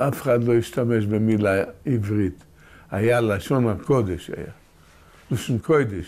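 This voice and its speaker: The man's medium-pitched voice, rising and falling in an ordinary way, moves very slowly, broken by long, frequent pauses. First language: Yiddish (speaking Hebrew). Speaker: oral history interviewee. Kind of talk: oral history interview. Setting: at home, filmed interview. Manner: halting, with repetitions.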